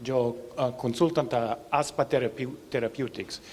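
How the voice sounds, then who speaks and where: At a very slow pace, a man with an American accent talks at a medium pitch and fairly even intonation. Noticeable background noise is present. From US. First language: English (speaking Spanish). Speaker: bioethicist and clinical researcher. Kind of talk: conference presentation. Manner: halting, many fillers.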